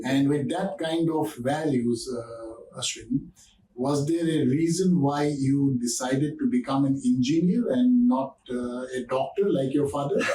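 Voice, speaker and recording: A man's fairly high, somewhat breathy voice, dark and mellow in tone, with ordinary pitch variation and a fairly slow pace. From Northeast India. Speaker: podcast host, company CEO. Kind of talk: podcast interview.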